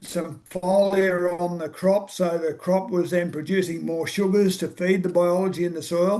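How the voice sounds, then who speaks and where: In an Australian accent, a man speaks at a high pitch. His intonation stays fairly even. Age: 60s. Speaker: farmer. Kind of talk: casual chat.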